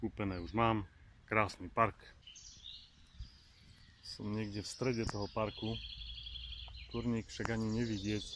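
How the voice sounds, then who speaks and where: Light background noise sits under a dry, echo-free recording of a man talking at a fairly slow pace in a fairly low pitch. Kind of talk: casual vlog chat. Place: open country. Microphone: phone near.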